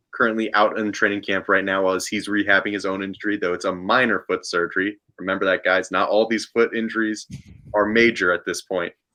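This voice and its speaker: A man speaks at a fairly quick pace in a fairly low voice, his tone bright and sharp and his intonation flat and monotone, against a quiet background. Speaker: football podcast co-host. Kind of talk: casual chat. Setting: live stream. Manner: newsreader-like, polished.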